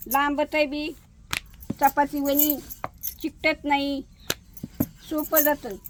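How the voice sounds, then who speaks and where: A woman's voice sits high in pitch. The intonation remains fairly even throughout. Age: old. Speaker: home cook, grandmother. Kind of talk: cooking demonstration talk to camera. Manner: warm, homely, affectionate.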